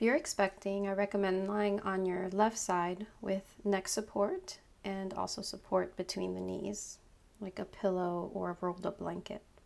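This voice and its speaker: At a moderate pace, a woman talks with medium pitch and monotone, flat intonation. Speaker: yoga instructor, meditation guide. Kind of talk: guided meditation, yoga nidra.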